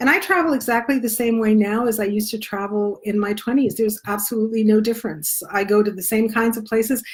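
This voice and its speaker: A woman talks at a very fast pace with hardly any pauses, her voice somewhat breathy and her intonation fairly even. The recording is very clean, with a silent background. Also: fairly high pitch for a woman. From Spain. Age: 60s. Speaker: travel blogger. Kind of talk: live Q&A. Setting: Facebook live stream.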